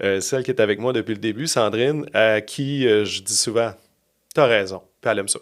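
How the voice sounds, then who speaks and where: In a very clean recording with a silent background, a man speaks at a moderate pace with a medium pitch and ordinary pitch variation. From Quebec City. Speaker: communications agency founder, former radio host. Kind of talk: casual interview chat. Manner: loud.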